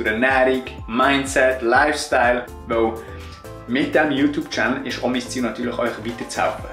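With faint music in the background and audible room echo, a man in a Bernese accent speaks at a moderate pace and medium pitch. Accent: Bernese Swiss German. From Switzerland. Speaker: online fitness coach. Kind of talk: casual vlog talk to camera. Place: kitchen. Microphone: phone near.

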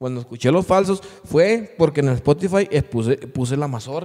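Against a quiet background, a man talks at a moderate pace in a dark, mellow tone. His pitch varies in an ordinary way. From Mexico, Durango. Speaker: podcast host and musician; podcast host. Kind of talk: casual chat. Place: studio. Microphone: studio mic.

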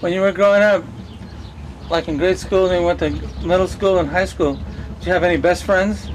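Speaking at a fairly quick pace, a man leaves long, frequent pauses, with light background noise behind him. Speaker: oral history interviewer. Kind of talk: oral history interview. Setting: on location at interviewees' home. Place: street. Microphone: camera far.

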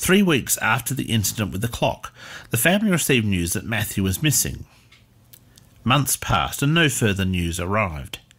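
In a solemn tone, a man with a fairly low pitch and vocal fry sweeps through very wide pitch swings. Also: moderate pace. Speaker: narrator. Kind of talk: scripted history storytelling narration. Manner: measured, solemn, storyteller pacing; formal.

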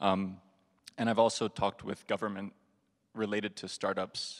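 Against a quiet background, a man with a fairly low voice speaks at a moderate pace with monotone, flat intonation. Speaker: audience questioner; questioner. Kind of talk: audience Q&A. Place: hall.

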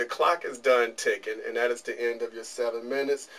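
Here a man speaks with an American accent. His pace is fairly quick. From Detroit, US. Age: middle-aged. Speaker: interview show host. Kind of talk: interview. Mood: relaxed, friendly. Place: studio. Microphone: camera far.

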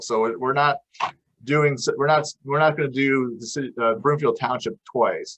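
A man speaks at a fairly quick pace. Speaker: county planner. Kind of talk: public meeting presentation. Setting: township public meeting. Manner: fast.

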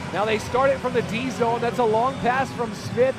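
Over music in the background, a man speaks with an extremely high pitch and monotone, flat intonation, in a dry sound with no echo. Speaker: hockey play-by-play announcer. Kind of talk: live commentary. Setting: arena broadcast of hockey game. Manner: voice surges and rings out on goals.

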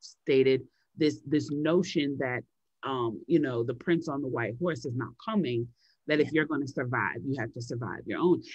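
In an American accent, a woman talks at a moderate pace with a very deep, low pitch. Her tone is animated, with ordinary pitch variation. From Chicago, US Midwest. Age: 40s. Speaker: novelist and activist. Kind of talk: interview.

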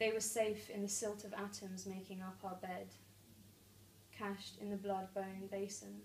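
With audible room echo and light background noise, a woman speaks in a nervous tone at a moderate pace with monotone, flat intonation. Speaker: poet. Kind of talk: spoken word poetry, reading aloud own poem with flowing, vivid science imagery. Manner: nervous at first, then lyrical and measured; laughs and stumbles mid-poem. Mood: calm, measured. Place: home room. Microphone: camera far.

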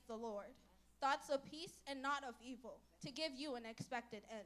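With a bright, sharp tone, a woman raises and projects her high voice, speaking at a moderate pace with ordinary pitch variation. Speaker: church member speaker. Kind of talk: prepared church talk. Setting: church. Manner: formal, earnest. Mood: earnest, devotional. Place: church. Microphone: handheld.

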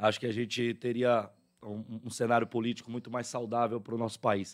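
Very fast speech from a man, with a quiet background. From southern Bahia, Brazil. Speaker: radio host. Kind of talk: live radio interview. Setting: radio studio. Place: studio. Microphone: studio mic.

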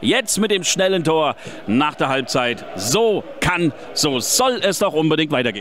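Amid noticeable background noise, a man with a fairly high pitch speaks at a fairly slow pace with very wide pitch swings. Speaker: fan radio football commentator. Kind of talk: live commentary. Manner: animated.

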